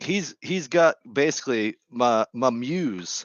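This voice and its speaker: A man speaks with a Boston accent and lively intonation. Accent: thick Boston. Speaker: gardening live streamer. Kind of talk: casual live stream chat. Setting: home live stream with headset.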